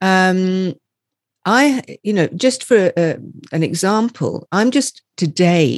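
The voice belongs to a woman. Everything sounds dry and close, without any echo. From Scotland. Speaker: energy healer and empowerment coach. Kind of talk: interview.

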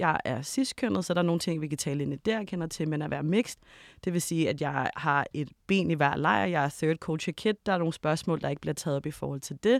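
A woman with a very deep, low pitch speaks at a fairly quick pace with lively intonation. The recording is very clean and silent in the background, with a dry, close sound and no echo. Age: 30s. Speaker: documentary maker. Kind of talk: panel discussion. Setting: studio.

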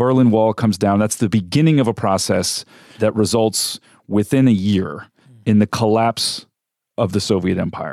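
An unremarkable speaking voice: a man with an American accent, fairly low pitch, ordinary pitch variation and moderate pace, dry and close with no echo. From California. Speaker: radio host. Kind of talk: radio interview. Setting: studio.

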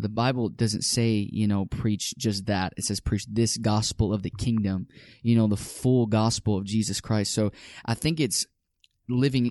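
An American-accented man speaks at a moderate pace in a dark, mellow tone with fairly even intonation. The sound is dry and close with no echo, over a quiet background. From South Side of Chicago. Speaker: minister. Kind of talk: casual interview.

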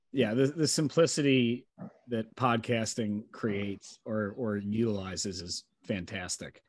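At a fairly slow pace, a man of medium pitch talks in an ordinary speaking voice with ordinary pitch variation. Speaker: sales podcast host. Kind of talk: casual interview chat. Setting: video call. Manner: upbeat, relaxed.

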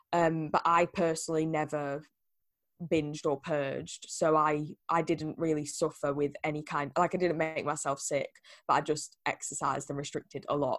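A woman's very deep, low voice, flat and monotone, at a moderate pace on a very clean recording with a silent background. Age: 20s. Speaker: eating disorder survivor and podcast host. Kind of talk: interview, personal testimony.

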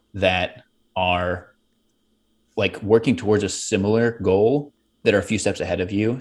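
A man's fairly low, fairly evenly intoned voice with an American accent, a normal speaking voice on a very clean recording with a silent background. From Pittsburgh, US. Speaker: entrepreneur. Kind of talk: interview.

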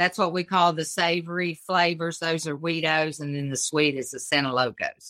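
In an Appalachian accent, a woman talks at a moderate pace with hardly any pauses. Her pitch is fairly low and her intonation fairly even. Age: 60s. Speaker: cottage food business owner. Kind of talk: casual interview.

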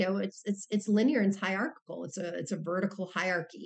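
A somewhat breathy woman's voice at medium pitch with ordinary pitch variation. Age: 50s. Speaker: professor and author. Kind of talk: interview.

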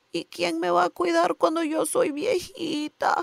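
A man uses a put-on character voice with extremely high pitch. He talks at a moderate pace.

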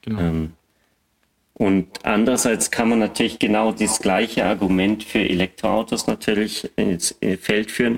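A plain, everyday voice speaks at a fairly slow pace, with fairly even intonation and very even loudness. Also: man, fairly low pitch for a man. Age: 30s. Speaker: battery test engineer and podcaster. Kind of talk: casual expert discussion.

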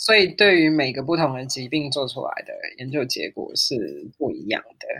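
The recording is very clean, with a silent background. The delivery moves at a fairly slow pace. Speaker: neuroscientist and amateur pianist. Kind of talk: interview conversation.

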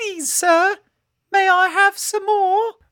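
Extremely high pitch in a put-on character voice. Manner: pleading, meek.

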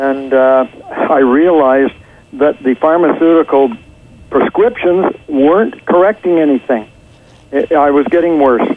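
Speaking at a fairly slow pace, a man uses a fairly high pitch with ordinary pitch variation over noticeable background noise. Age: 70s. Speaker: author, former teacher. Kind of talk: interview answers. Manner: conversational, hesitant with fillers.

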